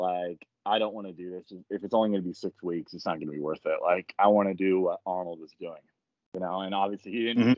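A man's fairly low pitch and fairly even intonation at a very fast pace. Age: 20s. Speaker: bodybuilder and social media creator. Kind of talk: casual chat.

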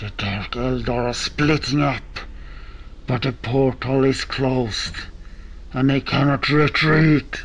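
Against clear background noise, the speech moves at a fairly slow pace with fairly even intonation and long, frequent pauses. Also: man, medium pitch for a man.

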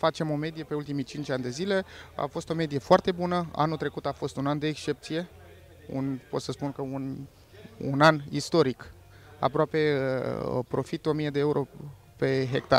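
A man talks at a moderate pace with a fairly high pitch and fairly even intonation, leaving long, frequent pauses. The sound is dry, with no echo. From Romania. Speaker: farmer. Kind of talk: interview. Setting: outdoors on a farm. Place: farm. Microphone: handheld.

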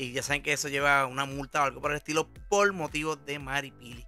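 A man with a Puerto Rican accent talks at a fairly quick pace, pitched fairly high with ordinary variation. Music plays in the background. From Puerto Rico. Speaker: online commentator. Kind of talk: casual talk to camera, entertainment news commentary.

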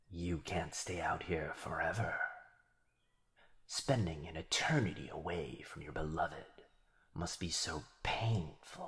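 Using a put-on character voice, a man speaks very deep and low at a fairly slow pace, with long, frequent pauses. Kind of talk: yandere ASMR roleplay. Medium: audio drama. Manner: taunting, smug, gloating, playfully menacing.

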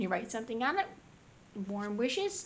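There is noticeable background noise behind this woman's voice. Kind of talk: craft flip-through commentary. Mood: gentle, cheerful. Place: home room.

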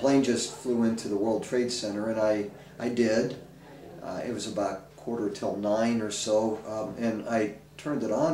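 A man talks at a moderate pace over light background noise, with audible echo in the room. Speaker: pastor. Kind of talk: interview answer. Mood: calm, reflective. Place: home room.

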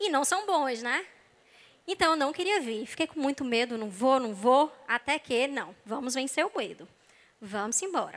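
Animated, bright and sharp, a woman speaks at a high pitch with lively intonation. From Brazil, not Rio de Janeiro. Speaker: psychologist, church speaker; speaker. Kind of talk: sermon-style talk. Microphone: handheld.

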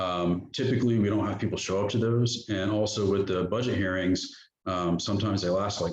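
A man speaks at a fairly quick pace in a fairly low, somewhat breathy voice, his intonation fairly even and his loudness very even, with audible room echo. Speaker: town manager. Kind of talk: budget presentation at council workshop. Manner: fast; hesitant fillers.

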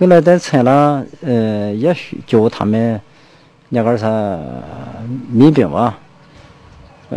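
A man talks at a very slow pace. The sound is dry, with no echo. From Shandong. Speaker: villager, grandson of martial artist. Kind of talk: interview reminiscence. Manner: halting. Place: street. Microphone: handheld.

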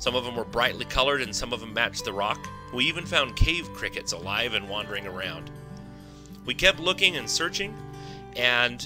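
Music plays in the background as a man talks at a moderate pace. His medium-pitched voice makes very wide pitch swings. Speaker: falconer and nature educator. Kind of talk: documentary voiceover narration.

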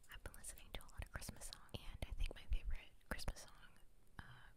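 Someone is whispering at a fairly quick pace. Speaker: ASMR creator. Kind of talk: ASMR whispering. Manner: soft-spoken. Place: home room.

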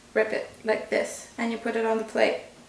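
Audible room echo surrounds a woman who talks at a fairly slow pace. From Italy, Tuscany. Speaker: cooking video host. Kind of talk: tutorial. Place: kitchen.

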